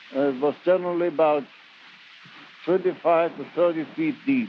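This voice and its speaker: Over noticeable background noise, a man with a German accent speaks at a moderate pace in a high pitch with lively intonation. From Germany. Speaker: former gold miner. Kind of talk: recorded reminiscence storytelling. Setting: home cassette recording.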